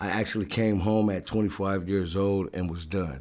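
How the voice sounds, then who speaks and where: A man with an American accent speaks at a moderate pace in a very deep, low pitch with a dark, mellow tone. His intonation is fairly even, and the recording is very clean with a silent background. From Oceanside, northern San Diego, California. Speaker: rapper. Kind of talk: interview. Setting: studio.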